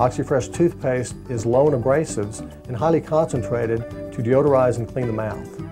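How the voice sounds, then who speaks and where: A man speaks at a fairly quick pace. His intonation is lively, with music in the background. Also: medium pitch for a man. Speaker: dentist. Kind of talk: infomercial presentation.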